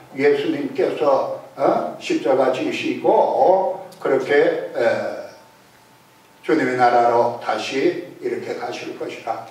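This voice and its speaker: A man speaks at a very slow pace in a room with audible echo and noticeable background noise. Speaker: pastor. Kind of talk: sermon.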